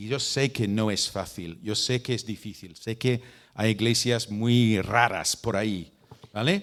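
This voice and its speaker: A man with a British accent speaks at a fairly slow pace in a medium pitch, keeping his intonation fairly even. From Britain. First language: English (speaking Spanish). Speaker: missionary and mission leader. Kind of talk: talk to church leaders. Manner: halting, with repeats and fillers.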